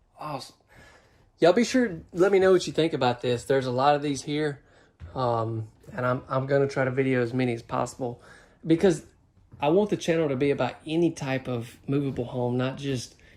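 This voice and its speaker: Talking at a fairly quick pace with a strong Southern US accent, a man uses a fairly high pitch and ordinary pitch variation. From US South. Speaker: home tour vlogger. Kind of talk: home tour vlog. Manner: animated.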